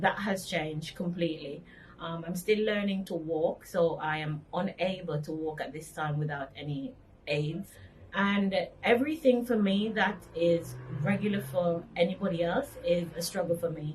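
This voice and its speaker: At a moderate pace, a woman speaks with a fairly low pitch, ordinary pitch variation, and a somewhat breathy quality. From Jamaica, Montego Bay. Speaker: accident survivor. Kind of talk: interview testimony.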